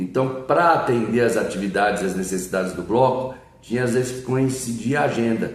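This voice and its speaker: A man's voice, with ordinary pitch variation, is heard with audible room echo. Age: 60s. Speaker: samba singer and composer. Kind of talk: interview.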